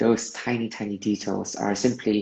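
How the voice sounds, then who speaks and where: Vocal fry runs through a man's fairly low voice as he speaks at a fairly slow pace with fairly even intonation. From Malaysia. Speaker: movement artist. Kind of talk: interview.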